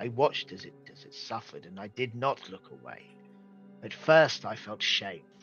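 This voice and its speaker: Faint music plays in the background. Over it comes a put-on character voice with a solemn tone. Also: man. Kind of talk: dramatic in-character monologue. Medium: actual play. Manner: solemn, formal, persuasive, unsettling.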